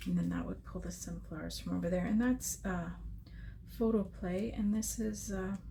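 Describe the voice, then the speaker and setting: A soft-spoken woman whispers at a moderate pace. The room echoes audibly, and background noise is noticeable. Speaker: scrapbooking crafter. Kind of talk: crafting tutorial. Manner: muttering to herself; soft-spoken, near whisper.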